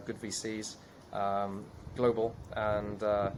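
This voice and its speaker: In a British accent, a man speaks fairly low and monotone, with flat intonation. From UK. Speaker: investor and entrepreneur. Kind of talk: podcast interview.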